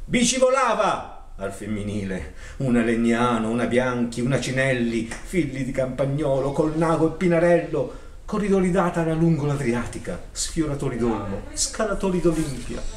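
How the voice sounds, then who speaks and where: At a moderate pace, a man speaks with a fairly high pitch and very wide pitch swings. The recording has audible room echo and light background noise. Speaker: poetry reciter. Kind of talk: reading aloud. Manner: declamatory. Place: shop. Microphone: camera far.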